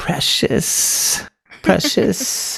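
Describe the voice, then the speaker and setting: A man does a put-on character voice with a hissing quality. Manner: creepy, possessive, hissing.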